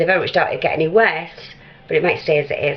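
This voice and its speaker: A woman speaks over noticeable background noise. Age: 60s. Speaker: vlogger. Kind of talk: casual chat. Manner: chatty.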